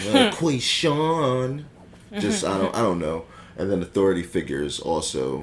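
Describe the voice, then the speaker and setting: Over noticeable background noise, a man talks at a moderate pace in a fairly low pitch with very wide pitch swings. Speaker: podcast co-host. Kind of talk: casual chat. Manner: halting, many fillers.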